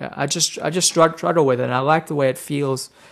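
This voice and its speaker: In a very clean recording with a silent background, a man with an Australian accent speaks at a fairly quick pace with fairly even intonation. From Australia, rural New South Wales. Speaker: guitarist. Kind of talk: casual interview.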